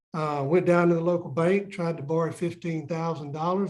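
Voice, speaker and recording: Someone talks at a very fast pace with a Southern US accent. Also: man. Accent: Southern US (Georgia). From US South, Southeast Georgia. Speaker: onion farmer. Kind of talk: casual interview.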